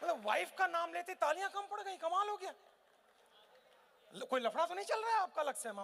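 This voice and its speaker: An animated man with an extremely high pitch for a man, lively intonation, a moderate pace and long, frequent pauses. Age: 50s. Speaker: motivational speaker. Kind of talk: motivational seminar talk. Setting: stage with live audience.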